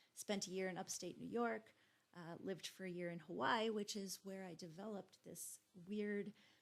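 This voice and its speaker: A woman with a Minnesotan accent, medium pitch, ordinary pitch variation and a moderate pace. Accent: Minnesota. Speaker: GIS instructor. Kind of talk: course introduction lecture. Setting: recorded video. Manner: casual, informal with fillers.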